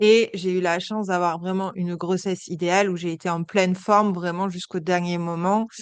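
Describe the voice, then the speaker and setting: A woman's medium-pitched, monotone, flat delivery at a moderate pace with hardly any pauses. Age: 30s. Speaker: entrepreneur, agency founder. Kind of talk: podcast interview. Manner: hesitant, many fillers.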